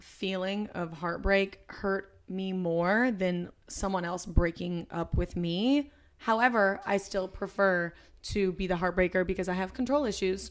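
A woman speaks in an ordinary speaking voice at a medium pitch with ordinary pitch variation. Her pace is fairly slow, and the recording is very clean with a silent background. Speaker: podcast co-host.

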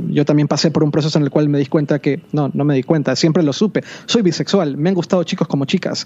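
Fairly high-pitched man's voice with ordinary pitch variation, amid noticeable background noise. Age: 40s. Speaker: tech blogger and media company CEO. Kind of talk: casual chat.

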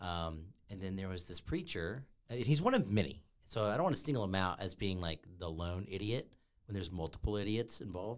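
Over a very clean recording with a silent background, a man with an unremarkable speaking voice talks at a fairly low pitch and a fairly quick pace with lively intonation. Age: 30s. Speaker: podcast co-host. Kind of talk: casual chat.

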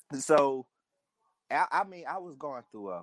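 A man speaks in a New Orleans accent with lively intonation. His pace is fairly slow, and the sound is dry and close with no echo. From New Orleans (St. Thomas). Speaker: caller. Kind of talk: call-in chat.

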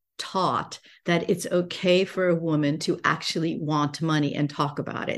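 In a normal speaking voice, a woman with an American accent talks at a moderate pace, her fairly low pitch showing ordinary variation. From United States. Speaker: business coach and entrepreneur. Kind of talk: podcast interview.

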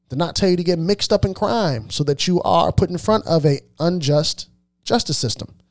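The recording is very clean, with a silent background. A man talks in an animated tone with very wide pitch swings. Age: 30s. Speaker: podcast host. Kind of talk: opinion monologue.

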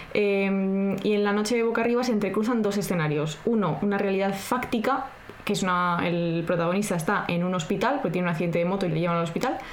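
A woman talks at a very fast pace with very even loudness, with audible room echo and noticeable background noise. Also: medium pitch for a woman, ordinary pitch variation. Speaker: podcast co-host. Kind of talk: casual chat with scripted segments.

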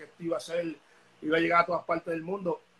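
Delivered very quickly, the speech carries a bright, sharp tone. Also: man. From Puerto Rico (Bayamón), born in Dominican Republic. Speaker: reggaeton artist. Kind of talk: casual interview.

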